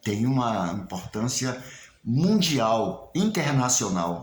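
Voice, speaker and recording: A man's medium-pitched voice with very wide pitch swings, a very slow pace, noticeable background noise and audible room echo. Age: 70s. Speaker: local historian and candomblé researcher. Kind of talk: spoken video message to community. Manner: hesitant, with fillers and repetitions.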